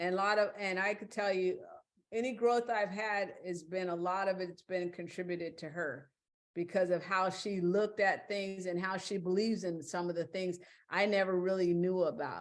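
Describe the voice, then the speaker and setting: A woman with an ordinary speaking voice talks at a moderate pace and medium pitch, with fairly even intonation. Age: 60s. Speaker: podcast guest. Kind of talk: casual interview chat.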